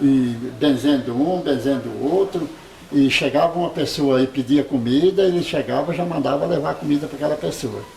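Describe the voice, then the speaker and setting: Noticeable background noise sits behind this man. He speaks at a fairly quick pace. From interior of São Paulo state, Brazil. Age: 70s. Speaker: elderly local resident. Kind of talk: oral history interview. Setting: at home.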